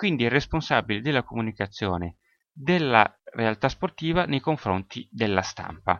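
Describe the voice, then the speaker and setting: Pitched at a medium level, a man speaks at a moderate pace with very wide pitch swings. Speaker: sports marketing podcaster. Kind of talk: solo educational podcast.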